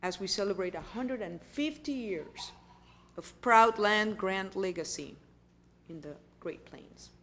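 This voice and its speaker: A woman with a Puerto Rican accent speaks at a medium pitch, her intonation lively and bouncing. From Puerto Rico. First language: Spanish. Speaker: university president. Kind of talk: keynote speech.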